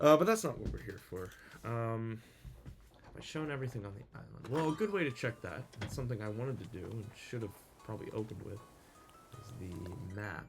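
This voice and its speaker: With music in the background, a man mumbles at a medium pitch with ordinary pitch variation and long, frequent pauses. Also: fairly quick pace. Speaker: gaming YouTuber. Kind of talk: gameplay commentary. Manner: mumbling; halting, many fillers.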